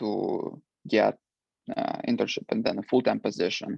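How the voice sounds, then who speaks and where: A man speaks with a Russian accent. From Ukraine. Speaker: alumni panelist, international employee. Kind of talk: panel discussion. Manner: halting, many fillers.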